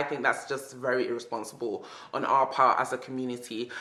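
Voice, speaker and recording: A woman speaks at a fairly quick pace with a British accent. Her tone is bright and sharp. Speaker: book vlogger. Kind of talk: casual video monologue. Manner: fast.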